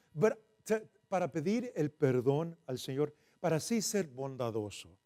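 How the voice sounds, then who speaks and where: Loud, dark and mellow male voice with very wide pitch swings. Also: dry, close sound with no echo. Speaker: preacher. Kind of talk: bilingual sermon. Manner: code-switching Spanish and English.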